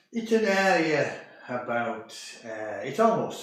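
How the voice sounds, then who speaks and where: A man talks in a room with audible echo, and noticeable background noise can be heard. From northern England, Carlisle in Cumbria. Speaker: host's father. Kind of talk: casual interview.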